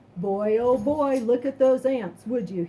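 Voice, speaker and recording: A woman puts on a character voice. Her pitch is high. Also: fairly slow pace. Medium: read story. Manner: folksy, patient.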